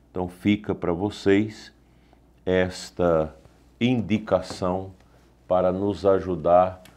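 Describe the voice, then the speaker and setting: A man speaks at a very slow pace in a very deep, low pitch. His tone is dark and mellow, with fairly even intonation. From Brazil. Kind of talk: catechesis lecture. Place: studio.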